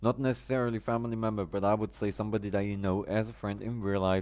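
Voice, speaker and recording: A man with a non-native accent talks fairly quickly at a fairly low pitch. The recording is very clean, with a silent background. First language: not English. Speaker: live streamer, gamer. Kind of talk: casual live stream chat. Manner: halting.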